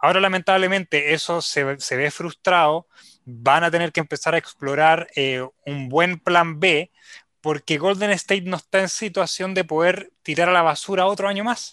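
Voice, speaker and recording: A man speaks at a moderate pace in a high voice with a bright, sharp tone, ordinary pitch variation, and a dry, close sound with no echo. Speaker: sports radio host. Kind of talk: casual chat.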